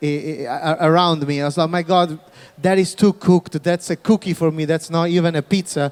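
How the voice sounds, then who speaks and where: A man's high-pitched voice in a Neapolitan accent, fairly quick, with fairly even intonation. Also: dry, close sound with no echo. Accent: Neapolitan Italian. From Naples, southern Italy. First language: Italian. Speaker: pizza chef, panelist. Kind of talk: panel discussion.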